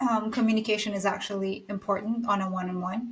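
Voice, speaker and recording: This woman has a fairly high voice and a non-native accent. She speaks at a moderate pace. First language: not English. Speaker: podcast co-host, junior coach. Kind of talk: casual discussion.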